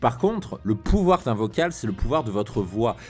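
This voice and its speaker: Music plays in the background. A man talks with lively intonation. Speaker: dating coach, YouTuber. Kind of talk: video tutorial.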